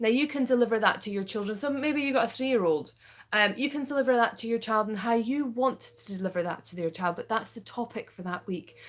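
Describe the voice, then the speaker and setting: A woman with a Scottish accent, a fairly high voice and ordinary pitch variation, at a very fast pace. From Scotland. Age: 30s. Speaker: parenting coach. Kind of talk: sales pitch. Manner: casual, filler-heavy.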